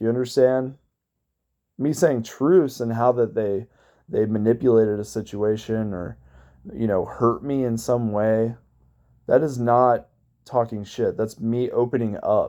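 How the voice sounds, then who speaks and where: Here a man with an American accent speaks at a medium pitch, in a dark, mellow tone with ordinary pitch variation. His pace is fairly slow, with long, frequent pauses. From Cincinnati, Ohio, US Midwest. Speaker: abuse survivor vlogger. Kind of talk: personal testimony vlog. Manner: loud; animated.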